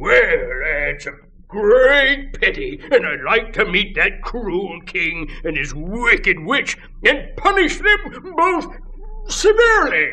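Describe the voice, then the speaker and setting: A man's put-on character voice, extremely high in pitch, at a very slow pace over light background noise. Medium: read story. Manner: hearty, chatty.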